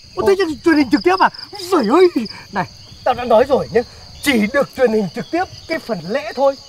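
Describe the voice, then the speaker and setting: Speech comes at a very fast pace, with a dry sound free of echo and light background noise. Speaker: comic film character. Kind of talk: acted comedic dialogue. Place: garden.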